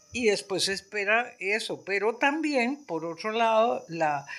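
A woman's voice with very wide pitch swings, in a very clean recording against a silent background. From Costa Rica, San José (Barrio Amón). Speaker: retired art history professor. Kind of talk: interview. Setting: at her home. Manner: talkative.

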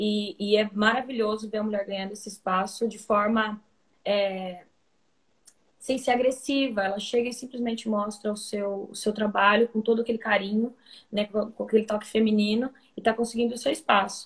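A woman speaks in a fairly high, somewhat breathy voice. Her intonation is monotone and flat, at a moderate pace. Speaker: musician. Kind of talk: interview. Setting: video call.

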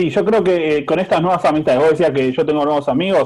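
A man's plain, everyday voice, fairly high in pitch, at a fairly quick pace. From Azul, Buenos Aires province, Argentina. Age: 30s. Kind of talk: casual chat.

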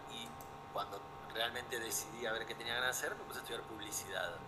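Noticeable background noise and audible room echo come with a man's speech. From Buenos Aires, Argentina. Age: 40s. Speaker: documentary photographer. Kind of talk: interview.

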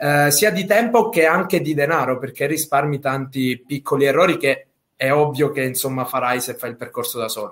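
A man with a plain, everyday voice speaks at a moderate pace, his fairly high pitch showing ordinary pitch variation. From Sicily. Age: 20s. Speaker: affiliate marketer. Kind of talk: interview. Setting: live video stream.

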